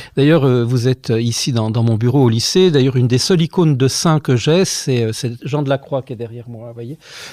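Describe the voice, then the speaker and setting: At a fairly quick pace with hardly any pauses, a man with a dark, mellow tone speaks with ordinary pitch variation. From France, Savoie (Albertville). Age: 50s. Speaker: teacher and former friar giving testimony. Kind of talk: testimony interview. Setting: office at a high school. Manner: hesitant, many fillers.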